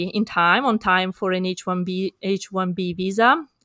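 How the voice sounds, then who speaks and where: A woman with an Italian accent speaks fairly slowly in a bright, sharp tone, her intonation fairly even and the sound dry and close with no echo. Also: very clean recording, silent background. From Italy. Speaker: kidney researcher, nonprofit director. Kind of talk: panel discussion. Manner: halting.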